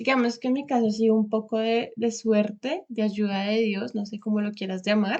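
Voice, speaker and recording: In a plain, everyday voice, a woman speaks at a fairly high pitch and a moderate pace with hardly any pauses. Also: fairly even intonation. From Colombia, Bogotá. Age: 20s. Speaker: vocational trainee, former lawyer. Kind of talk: interview.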